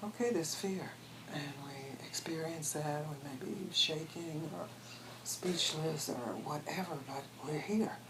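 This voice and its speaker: A woman with an American accent and a very deep, low pitch speaks at a fairly slow pace with ordinary pitch variation, amid noticeable background noise and audible room echo. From US Deep South, Mississippi. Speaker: spiritual teacher. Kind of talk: interview. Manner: halting, with restarts.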